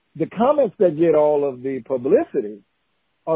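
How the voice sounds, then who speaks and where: A man with a South Carolina accent. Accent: Southern US (South Carolina). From US South, South Carolina (Newberry). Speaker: college educator, former college basketball player. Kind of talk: casual interview. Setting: call.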